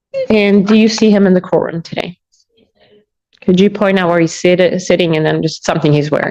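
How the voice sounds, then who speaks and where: Soft-spoken and medium in pitch, a woman talks with fairly even intonation. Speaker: prosecutor. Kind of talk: courtroom questioning. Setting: courtroom.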